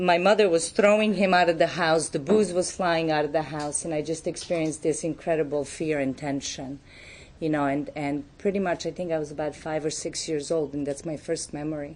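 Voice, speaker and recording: With a Serbian accent, a woman talks at a fairly quick pace in a very deep, low pitch. Her intonation stays fairly even. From Serbia, Belgrade. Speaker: recovery speaker. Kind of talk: testimony.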